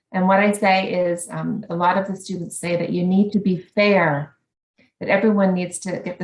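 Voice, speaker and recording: Speaking in a Canadian accent, a woman with a medium-pitched, somewhat breathy voice keeps a moderate pace and fairly even intonation. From Canada. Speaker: education academic. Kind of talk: conference talk. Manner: hesitant with fillers.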